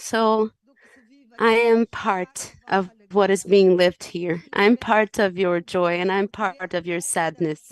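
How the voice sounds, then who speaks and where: Speaking in a Portuguese accent, a woman talks at a very slow pace with fairly even intonation. The sound is dry and close, with no echo. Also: medium pitch for a woman. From Cape Verde. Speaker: UN agency regional director. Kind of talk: formal panel speech. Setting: conference panel.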